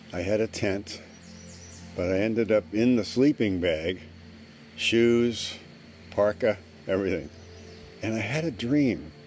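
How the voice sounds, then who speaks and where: A man's fairly low voice at a fairly slow pace, with long, frequent pauses and music in the background. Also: ordinary pitch variation, dry sound with no echo. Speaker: video journal storyteller. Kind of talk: casual vlog chat. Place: garden. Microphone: phone near.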